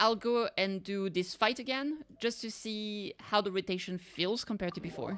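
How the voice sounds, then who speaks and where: Music plays in the background as a woman speaks with a slight French accent. Her pitch is fairly high and her pace fairly slow. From France. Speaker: vtuber streamer. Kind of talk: casual gameplay livestream chat. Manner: casual, thinking aloud.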